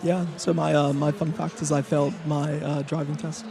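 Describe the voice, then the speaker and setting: Amid noticeable background noise, a man talks at a fairly quick pace with a fairly high pitch and ordinary pitch variation. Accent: American. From half American, lives in Belfast. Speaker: software engineer. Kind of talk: panel discussion. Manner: hesitant, many 'uh' fillers.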